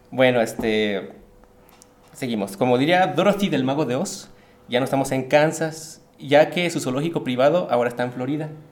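The speech moves at a moderate pace with ordinary pitch variation. Audible room echo surrounds it. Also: man, medium pitch for a man. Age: 30s. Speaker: podcast host and storyteller. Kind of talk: storytelling narration.

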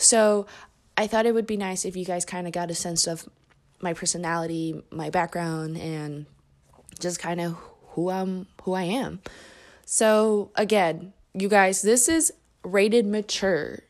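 Speaking with a Midwestern American accent, this voice keeps a fairly even intonation. The pace is fairly slow, with long, frequent pauses. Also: woman, medium pitch for a woman, very clean recording, silent background. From Indianapolis, Indiana. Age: 20s. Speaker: podcast host. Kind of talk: casual monologue. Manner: talkative.

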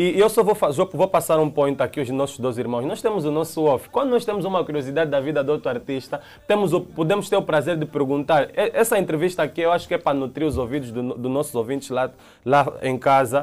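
A man with an Angolan accent, fairly high in pitch, lively in intonation and very fast in pace. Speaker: musician. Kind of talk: heated debate. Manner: animated.

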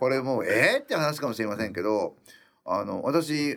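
The recording is very clean, with a silent background. A man speaks at a moderate pace and a medium pitch. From Japan, rural Iwate. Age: 50s. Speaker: restaurant owner. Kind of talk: interview.

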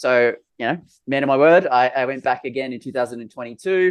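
A man talks with an Australian accent. His pitch variation is ordinary. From Australia, Sydney. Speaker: bitcoin conference organiser. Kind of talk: casual interview chat. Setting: video call.

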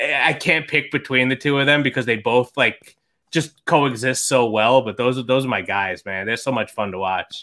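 With a New York accent, a man speaks at a moderate pace and medium pitch in a bright, sharp tone. His pitch varies in an ordinary way on a very clean recording with a silent background. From New York, Long Island. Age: 30s. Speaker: fantasy football writer and podcaster. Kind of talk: casual interview chat.

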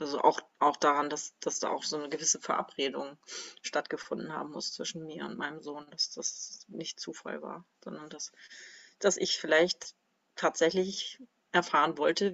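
A woman's voice, loudness rising and falling sharply, delivered at a moderate speed. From northern Germany, Kiel. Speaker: former music teacher. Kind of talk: interview about personal grief.

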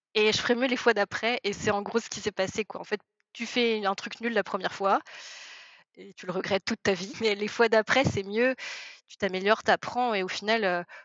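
In an ordinary speaking voice, a woman talks at a medium pitch and moderate pace. Her intonation is fairly even. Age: 30s. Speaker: novelist. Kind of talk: casual chat.

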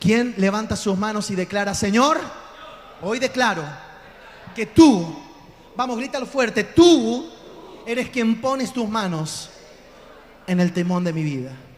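A high-pitched man talks at a fairly slow pace with long, frequent pauses, lively intonation and an animated tone. Audible room echo and noticeable background noise fill the recording. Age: 40s. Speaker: pastor. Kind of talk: sermon. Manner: loud.

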